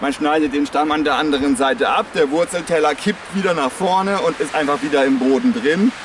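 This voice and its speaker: The speaker moves at a fairly quick pace with ordinary pitch variation. The sound is dry with no echo, though noticeable background noise is present. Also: man. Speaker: nature trail guide. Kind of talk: outdoor educational explanation. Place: forest.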